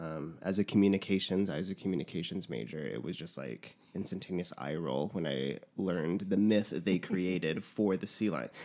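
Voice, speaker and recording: A man with an American accent, a very deep, low pitch, vocal fry, a dark, mellow tone, ordinary pitch variation, a moderate pace and hardly any pauses. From New Mexico, US. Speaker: podcast guest. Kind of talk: casual chat.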